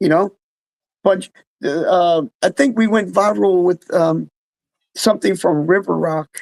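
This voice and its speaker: Someone with an American accent speaks at a fairly slow pace with long, frequent pauses. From New Jersey, Freehold. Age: 60s. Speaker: musician. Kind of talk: casual chat.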